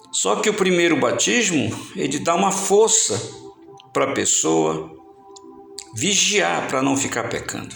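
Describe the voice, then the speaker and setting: A very slow pace with audible room echo and music in the background. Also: man. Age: 60s. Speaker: evangelist preacher. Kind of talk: sermon.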